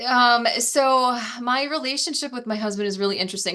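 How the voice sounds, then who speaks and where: A woman with a Wisconsin accent speaks with ordinary pitch variation. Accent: Wisconsin accent, still noticeable. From Wisconsin, US Midwest. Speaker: wealth building coach. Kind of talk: casual interview.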